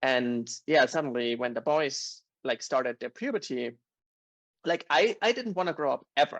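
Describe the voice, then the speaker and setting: With a German accent, a man speaks at a moderate pace and a fairly high pitch, his intonation lively, the sound dry and close with no echo against a quiet background. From Germany, Bavaria. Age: 30s. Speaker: podcast guest. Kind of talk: casual chat.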